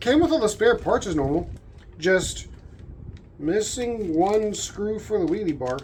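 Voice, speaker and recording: Audible room echo follows a woman of medium pitch who speaks at a fairly slow pace with very wide pitch swings and long, frequent pauses. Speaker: RC car youtuber. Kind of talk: unboxing video. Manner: soft-spoken; thinking aloud, casual.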